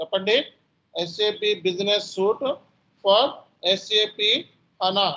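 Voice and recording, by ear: At a very slow pace, a man speaks in a high pitch with little pitch movement and a bright, sharp tone.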